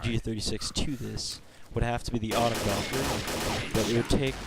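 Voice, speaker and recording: Over noticeable background noise, a man speaks quietly at a medium pitch, with monotone, flat intonation and a moderate pace. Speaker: video game reviewer. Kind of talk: gameplay commentary.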